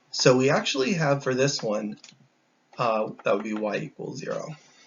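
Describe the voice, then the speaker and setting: A man is speaking. His pace is fairly quick. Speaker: math teacher. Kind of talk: lecture. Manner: fast.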